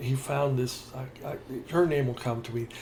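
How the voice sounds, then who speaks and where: Somewhat breathy speech moves at a moderate pace with ordinary pitch variation and audible room echo. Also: man. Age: 70s. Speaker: podcast co-host. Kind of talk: casual chat. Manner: halting.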